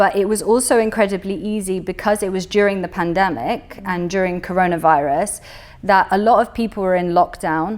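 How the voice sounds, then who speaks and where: Speaking with a British accent, a woman keeps her intonation fairly even. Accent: British English, expat. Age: 20s. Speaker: business owner. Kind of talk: interview. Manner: casual, hesitant fillers.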